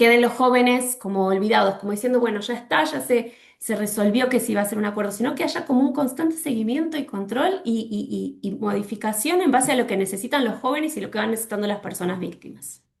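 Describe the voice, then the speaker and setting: A woman's fairly high, lively voice at a very fast pace with hardly any pauses. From Argentina. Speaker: legal specialist speaker. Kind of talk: webinar presentation. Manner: halting with fillers.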